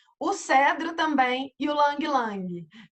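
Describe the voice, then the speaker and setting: Lively intonation marks a woman's high-pitched speech. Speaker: essential oils consultant presenter. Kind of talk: online presentation. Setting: video call with screen sharing.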